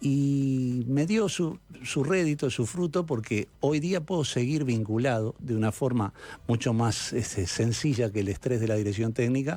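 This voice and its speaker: A man with a Uruguayan accent speaks at a medium pitch and moderate pace with lively intonation. His tone is dark and mellow, and his loudness stays very even. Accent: Uruguayan Spanish (Rioplatense). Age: 60s. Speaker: sports director, former coach. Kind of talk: radio interview.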